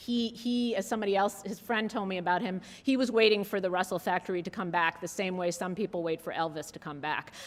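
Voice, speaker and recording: On a very clean recording with a silent background, a woman talks at a very fast pace with hardly any pauses. Her medium-pitched voice shows ordinary pitch variation. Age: 40s. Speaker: journalist and author giving keynote. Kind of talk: keynote lecture. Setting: conference hall with audience.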